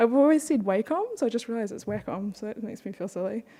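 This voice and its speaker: A woman speaks with a New Zealand accent. Her tone is dark and mellow. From New Zealand (born in Beijing, moved at five). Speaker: webcomic artist. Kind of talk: conference panel talk.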